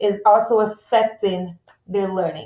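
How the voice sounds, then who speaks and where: The woman has a plain, everyday voice at medium pitch. She moves at a fairly slow pace with fairly even intonation. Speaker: school support staff for parents. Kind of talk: presentation for parents.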